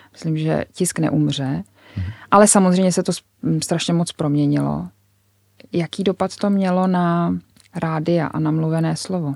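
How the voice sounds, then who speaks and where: A woman's fairly low-pitched voice at a fairly slow pace, with long, frequent pauses, ordinary pitch variation and a dry, close sound with no echo. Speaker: magazine editor-in-chief. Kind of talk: interview. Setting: studio.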